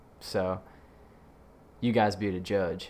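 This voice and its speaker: A man with a Southern US accent, fairly low in pitch, at a moderate pace. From Mississippi, US South. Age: 20s. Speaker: podcast host and aspiring actor. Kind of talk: casual solo podcast intro. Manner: hesitant, many fillers and repeats.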